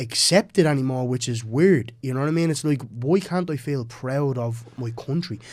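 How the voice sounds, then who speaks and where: With an Irish accent, a man speaks at a fairly high pitch in an animated tone, his intonation lively, his pace moderate and with hardly any pauses. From Ireland. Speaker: MMA fighter. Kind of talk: casual chat.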